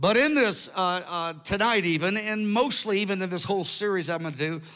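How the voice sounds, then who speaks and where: Projecting his raised voice, a man speaks at a high pitch with a bright, sharp tone and ordinary pitch variation. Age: 60s. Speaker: preacher. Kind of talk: sermon. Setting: stage with audience.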